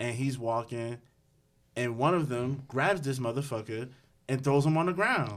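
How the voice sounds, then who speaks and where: A man with a New Jersey accent speaks at a moderate pace in a bright, sharp tone. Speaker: podcast co-host. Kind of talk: casual chat.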